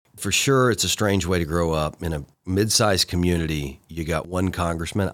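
A man with a Tennessee accent speaks in a very deep, low pitch with vocal fry. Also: very clean recording, silent background. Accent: Southern US (Tennessee). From East Tennessee (Chattanooga). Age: 30s. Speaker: county mayor. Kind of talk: interview.

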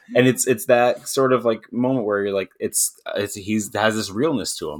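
A man speaks at a moderate pace with ordinary pitch variation in a plain, everyday voice. The recording is very clean, with a silent background. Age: 30s. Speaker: film fan and podcaster. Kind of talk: casual chat.

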